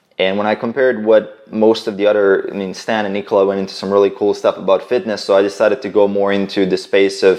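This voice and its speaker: A man speaks at a very fast pace with a slight Croatian accent. His pitch is fairly low, his intonation fairly even. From Croatia, village near Bosnian border. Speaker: fitness entrepreneur. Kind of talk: casual interview. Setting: in-person at host's flat.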